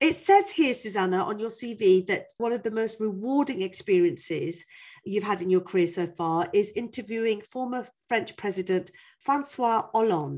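With an ordinary speaking voice, a woman speaks at a moderate pace and a fairly high pitch, her pitch varying in an ordinary way against a quiet background. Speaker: podcast host. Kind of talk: scripted intro and casual interview. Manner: warm, joking.

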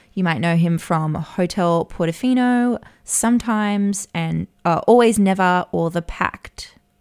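A woman speaks at a fairly slow pace with hardly any pauses, at medium pitch and with ordinary pitch variation. It is a plain, everyday voice, with a dry, close sound and no echo. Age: 40s. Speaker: podcast co-host, media advertising worker. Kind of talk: casual chat.

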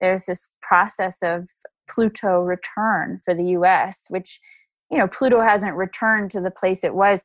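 A woman with an American accent speaks in a normal speaking voice at a medium pitch, with fairly even intonation and a dry, close sound that has no echo. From Texas, Dallas. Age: 30s. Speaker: astrologer and author. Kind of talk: casual interview.

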